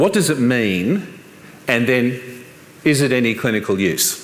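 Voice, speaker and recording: A man's medium-pitched voice with an Australian accent, audible room echo and noticeable background noise. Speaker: professor. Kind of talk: conference talk.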